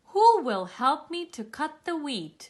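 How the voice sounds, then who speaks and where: Putting on a character voice, a woman speaks high-pitched and fairly slowly, her pitch swinging very widely. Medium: read story. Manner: earnest, resolute.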